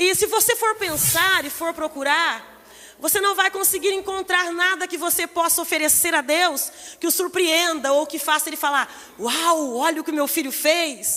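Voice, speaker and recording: A soft-spoken woman talks at a moderate pace in an extremely high voice with ordinary pitch variation. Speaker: preacher. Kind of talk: sermon. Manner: starts soft, grows louder.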